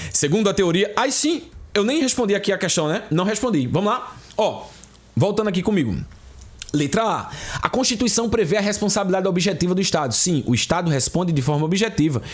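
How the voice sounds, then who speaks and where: Room echo is audible as a man speaks at a fairly quick pace in an animated tone. His pitch sits high and his loudness stays very even. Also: lively intonation. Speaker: exam prep teacher. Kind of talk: online lecture. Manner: fast.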